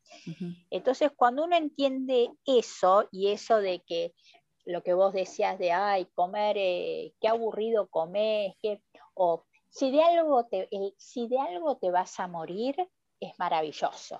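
With a normal speaking voice, a woman at a medium pitch talks fairly slowly with lively intonation, recorded dry and close with no echo. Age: 50s. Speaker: nutrition educator. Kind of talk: interview.

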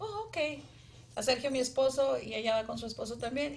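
A woman speaks at a high pitch. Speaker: businesswoman. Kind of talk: casual chat.

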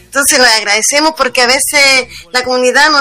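A woman with a Chilean accent speaks in a high pitch with fairly even intonation. Noticeable background noise runs underneath. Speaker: union leader. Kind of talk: interview.

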